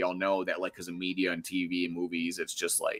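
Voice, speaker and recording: Here a man speaks with an American accent. His tone is bright and sharp, and his pace is fairly quick. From Wisconsin, US Midwest. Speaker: game show host, streamer. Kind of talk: casual chat. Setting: live stream. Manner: animated.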